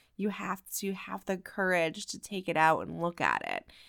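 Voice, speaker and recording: Loud and bright with a sharp tone, a woman speaks at a fairly slow pace in a medium pitch with monotone, flat intonation. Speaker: podcast host and life coach. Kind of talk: solo motivational podcast talk. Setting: at home, family asleep. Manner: loud talker.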